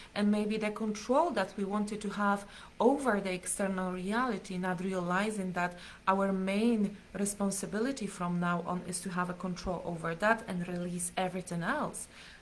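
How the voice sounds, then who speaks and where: A woman speaks at a moderate pace and medium pitch, her intonation fairly even, with audible room echo around her. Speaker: spiritual teacher. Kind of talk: live stream teaching. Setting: live stream.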